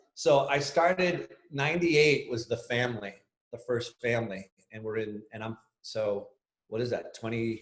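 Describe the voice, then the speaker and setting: Somewhat breathy and at a medium pitch, a man speaks with an American accent at a moderate pace. His pitch varies in an ordinary way, while his loudness swings widely. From Boston area, Massachusetts. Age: 40s. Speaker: sports agent. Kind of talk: podcast interview. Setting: video call.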